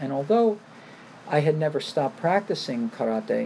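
An American-accented man with a plain, everyday voice, lively intonation and a moderate pace. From New York. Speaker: karate instructor. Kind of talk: interview.

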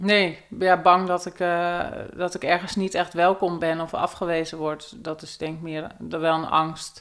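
A woman's flat, monotone delivery with big swings in loudness. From Netherlands, North/South Holland border near Aalsmeer. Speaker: cognitive neuroscientist. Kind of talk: interview. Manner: halting.

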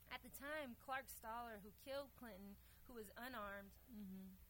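Speaking at a moderate pace, a woman has an unremarkable speaking voice, fairly high in pitch with ordinary variation. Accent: American. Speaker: community organizer. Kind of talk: casual chat. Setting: stage with audience.

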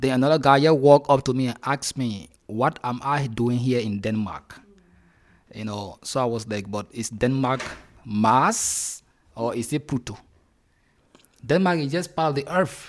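Pausing long and often, a man speaks at a moderate pace and medium pitch with ordinary pitch variation. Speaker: LGBT community member and former asylum seeker. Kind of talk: radio panel discussion. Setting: radio studio.

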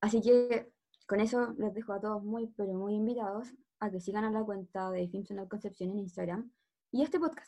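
A woman speaks at a moderate pace with a plain, everyday voice. Her pitch is fairly high and her intonation fairly even. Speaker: medical student podcast host. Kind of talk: casual podcast introduction.

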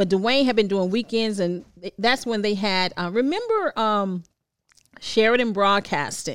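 A woman with an American accent speaks in an ordinary speaking voice, her pitch fairly high. She talks at a fairly slow pace with ordinary pitch variation. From Washington, D.C. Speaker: radio personality. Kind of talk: casual chat.

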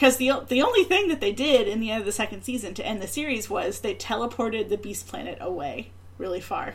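A woman talks at a very fast pace with hardly any pauses, her fairly high voice full of lively intonation. Noticeable background noise is present. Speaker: podcast host. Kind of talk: casual chat.

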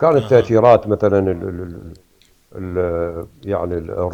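The speaker is a man. He has an Iraqi accent. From Iraq, Hilla and Baghdad. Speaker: painter. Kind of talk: interview.

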